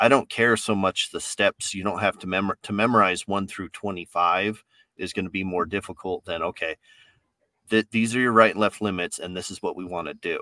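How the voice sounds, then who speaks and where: On a very clean recording with a silent background, a man with an American accent speaks fairly quickly in a fairly low pitch with fairly even intonation. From New York. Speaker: podcast host, corrections officer. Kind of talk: casual chat. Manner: blunt, direct.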